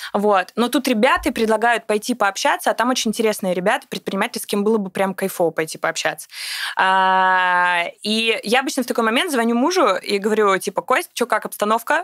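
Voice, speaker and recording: Talking very fast in a fairly high voice, a woman is heard in a dry, close sound with no echo. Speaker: entrepreneur, women's club founder. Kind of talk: casual interview. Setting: studio. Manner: animated.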